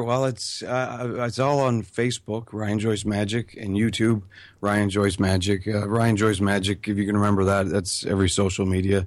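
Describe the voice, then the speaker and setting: This man has an ordinary speaking voice, fairly low in pitch, moving at a fairly quick pace with fairly even intonation on a very clean recording over a silent background. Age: 30s. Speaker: magician, online video creator. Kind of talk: casual interview chat.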